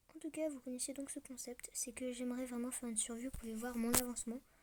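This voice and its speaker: Noticeable background noise accompanies speech that moves fairly quickly. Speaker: gaming youtuber. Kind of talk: casual gameplay commentary. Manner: hesitant, many fillers.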